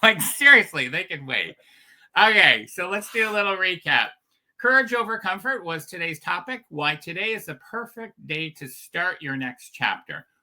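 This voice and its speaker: With a raised, projected voice, a man speaks at a moderate pace in a high, bright, sharp tone with lively intonation, captured in a very clean recording with a silent background. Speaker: business coach. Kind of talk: motivational livestream talk. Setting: livestream.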